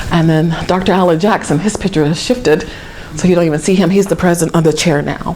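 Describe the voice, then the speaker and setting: A woman with an American accent speaks very fast at a fairly low pitch, her intonation fairly even and her loudness very even, with audible room echo and noticeable background noise. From Georgia, US South. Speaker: historic preservation program coordinator. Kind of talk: lecture.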